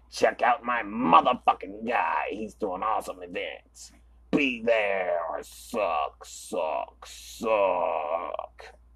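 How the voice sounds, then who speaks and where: A man speaks very slowly in a raspy, put-on character voice. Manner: loud, growling, shouting.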